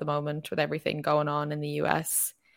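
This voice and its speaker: A woman with an Irish accent, very deep and low in pitch, at a fairly quick pace, in a very clean recording with a silent background. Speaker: podcast host. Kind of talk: casual chat.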